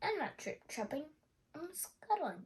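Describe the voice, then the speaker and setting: Using a put-on character voice, a woman speaks at a fairly slow pace with an extremely high pitch and very wide pitch swings. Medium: read story. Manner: polite, quick-thinking.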